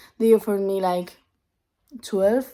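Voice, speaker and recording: This woman has a dark, mellow tone and speaks with a Spanish accent. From Spain. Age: 20s. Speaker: vlogger. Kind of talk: casual vlog monologue.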